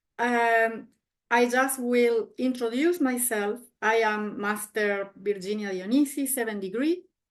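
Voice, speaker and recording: With ordinary pitch variation, a woman's voice sits at a fairly high pitch. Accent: Spanish. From Argentina. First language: Spanish. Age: 50s. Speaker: martial arts master. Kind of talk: self-introduction presentation.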